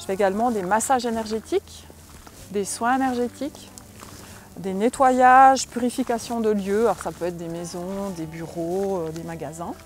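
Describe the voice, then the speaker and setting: Music can be heard in the background. The woman talks at a moderate pace. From Switzerland. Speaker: medium and energy healer. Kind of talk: interview. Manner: hesitant, many filler sounds.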